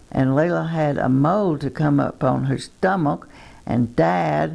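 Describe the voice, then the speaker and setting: A woman speaks at a very slow pace in a Texan accent. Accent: Texan Southern US. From Texas. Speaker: twin sister telling life story. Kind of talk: reminiscing, reading memoir aloud. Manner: halting.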